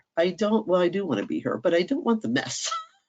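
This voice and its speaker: Animated in tone, a woman with an American accent shows very wide pitch swings and vocal fry. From US, Washington DC area. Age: 60s. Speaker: homeschool workshop speaker. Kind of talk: online workshop talk.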